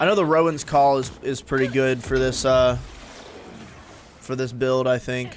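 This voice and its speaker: A man with an American accent at a medium pitch and moderate pace, with fairly even intonation, long, frequent pauses and noticeable background noise. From US, Georgia (north of Atlanta). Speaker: gaming streamer. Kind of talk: casual live-stream chat while gaming. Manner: casual, with many fillers and restarts.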